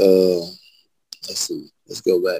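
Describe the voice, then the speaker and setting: A man with a Southern US accent, in a dry, close sound with no echo. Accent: US South. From Birmingham, Alabama. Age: 30s. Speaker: rapper. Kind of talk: casual interview chat.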